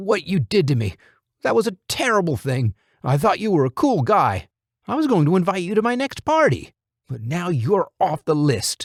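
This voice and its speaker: A raspy, whiny put-on character voice with very wide pitch swings, a moderate pace and a dry, close sound with no echo. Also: man, high pitch for a man. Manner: whining, complaining.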